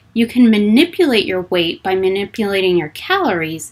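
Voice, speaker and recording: This woman has an unremarkable speaking voice at a medium pitch. She talks at a moderate pace. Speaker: fitness and nutrition coach. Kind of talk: live Q&A stream. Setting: livestream.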